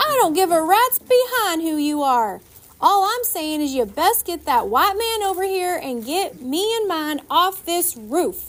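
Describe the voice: A woman puts on a shrill character voice at an extremely high pitch. Her pitch swings widely. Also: fairly slow pace.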